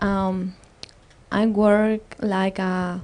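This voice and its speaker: A woman's voice with an Andean accent. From Ecuador, Otavalo in the Andes. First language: Quechua. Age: young. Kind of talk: panel discussion. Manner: halting.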